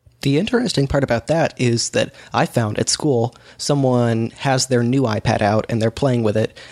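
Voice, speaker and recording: A man with a normal speaking voice at medium pitch and a moderate pace, his intonation fairly even, his loudness very even, with hardly any pauses. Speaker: podcast co-host. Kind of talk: casual chat.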